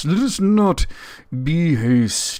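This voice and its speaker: At a middle pitch, the voice is a put-on character voice. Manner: slow, deliberate.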